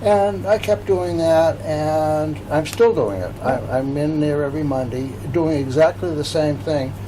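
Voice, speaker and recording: With audible room echo and noticeable background noise, a man talks at a fairly slow pace in a fairly high voice, his pitch swinging very widely and hardly any pauses breaking it up. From Massachusetts, US. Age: 80s+. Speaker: local historical society president and author. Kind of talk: interview. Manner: halting.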